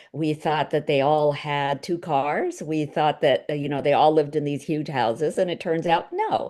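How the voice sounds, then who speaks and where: Over noticeable background noise, a woman with an American accent speaks at a moderate pace in a very deep, low pitch with fairly even intonation. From India, raised in the US from the sixties. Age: 60s. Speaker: novelist. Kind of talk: book club talk over video call. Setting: video call. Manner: hesitant, many fillers.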